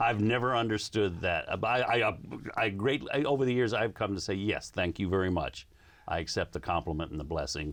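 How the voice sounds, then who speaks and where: This man talks at a fairly quick pace in an American accent. His fairly low voice has lively intonation. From US South and other US regions. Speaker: radio co-host. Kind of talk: casual interview.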